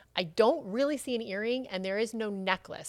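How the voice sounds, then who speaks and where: A woman's fairly high-pitched voice at a fairly quick pace. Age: 40s. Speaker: former model, reality TV personality. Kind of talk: casual chat.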